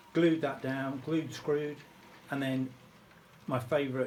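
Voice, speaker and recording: A man with a British accent speaks at a fairly slow pace, his pitch fairly high. The room echo is audible. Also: long, frequent pauses. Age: 60s. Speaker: model railway hobbyist. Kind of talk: casual video tutorial. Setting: home train room. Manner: hesitant, many ums.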